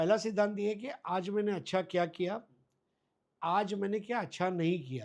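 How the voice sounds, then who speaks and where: A high-pitched man's voice in a Gujarati accent with ordinary pitch variation. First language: Gujarati (speaking Hindi). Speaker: cricket commentator. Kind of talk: interview. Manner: halting with frequent fillers.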